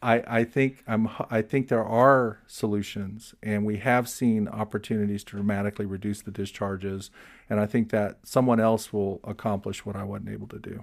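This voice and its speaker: In a plain, everyday voice with an American accent, the speaker keeps a moderate pace and fairly even intonation on a very clean recording with a silent background. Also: man. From Florida. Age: 60s. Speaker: environmental policy expert. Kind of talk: interview conversation.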